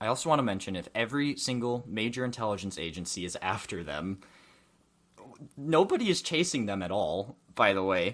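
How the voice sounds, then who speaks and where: The recording is very clean, with a silent background. A man with a medium pitch speaks at a fairly quick pace with lively intonation. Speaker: movie podcast host. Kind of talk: casual chat. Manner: loud, yelling.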